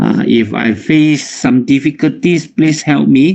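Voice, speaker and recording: At a fairly slow pace, a man with a Malaysian accent talks with ordinary pitch variation. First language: Chinese. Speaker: nutritionist and health consultant. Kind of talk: health talk.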